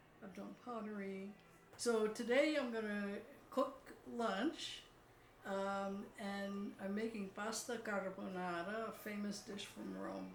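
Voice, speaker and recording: A woman with an American accent speaks at a medium pitch and a very slow pace, leaving long, frequent pauses, with fairly even intonation. Noticeable background noise and audible room echo fill the recording. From US, working-class neighborhood. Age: 80s+. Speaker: psychoanalyst and art therapist. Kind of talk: casual chat.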